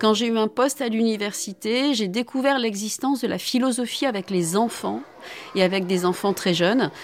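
A fairly high-pitched woman at a moderate pace, ordinary pitch variation, noticeable background noise. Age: 50s. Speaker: philosophy professor. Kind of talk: testimony.

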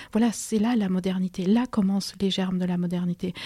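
A woman speaks at a moderate pace with a Spanish accent, her medium-pitched voice dark, mellow and somewhat breathy, delivered in a flat monotone over a very clean, silent background with a dry, close sound and no echo. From Peru. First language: Spanish (speaking French). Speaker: history lecturer and author. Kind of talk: radio interview. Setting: radio studio. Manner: halting, many repetitions and hesitations.

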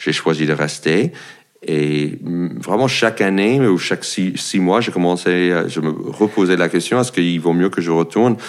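Very deep, low-pitched man's voice at a fairly slow pace, with ordinary pitch variation. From United States. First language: English (speaking French). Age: 40s. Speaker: comedian. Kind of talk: casual chat. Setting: at his home. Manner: halting.

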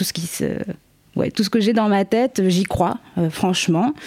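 Dark and mellow, the woman's voice shows ordinary pitch variation. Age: 20s. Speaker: guest with bipolar disorder. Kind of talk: casual chat.

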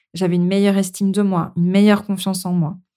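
Her tone is dark and mellow, at a medium pitch for a woman. The recording is very clean, with a silent background. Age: 40s. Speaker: podcast host and management coach. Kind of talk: solo podcast monologue.

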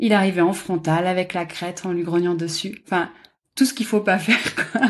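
A normal speaking voice talks at a moderate pace with ordinary pitch variation. The background is quiet. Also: woman. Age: 30s. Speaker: graphic designer, dog owner. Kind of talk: casual interview.

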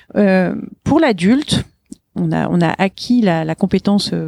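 The voice has a dark, mellow tone, a dry, close sound with no echo, and a fairly slow pace. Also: woman. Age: 50s. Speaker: business owner. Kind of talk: interview. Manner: animated.

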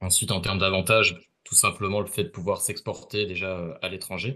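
A man's fairly low, bright, sharp voice at a moderate pace over a quiet background. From Ardennes, northern France. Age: 20s. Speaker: HR generalist on international volunteer assignment. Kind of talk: casual interview. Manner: hesitant, repeats words.

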